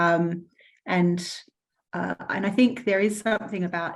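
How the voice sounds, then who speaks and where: Fairly even intonation and a fairly low pitch from a woman with an Australian accent. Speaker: panel moderator at online event. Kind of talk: online panel discussion. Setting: online event.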